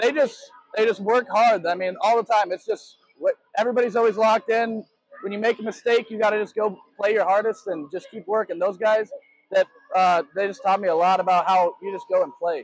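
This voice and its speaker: A man's high voice for a man at a fairly quick pace, with ordinary pitch variation, dry sound with no echo and a quiet background. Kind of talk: interview answer. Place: stadium. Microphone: handheld.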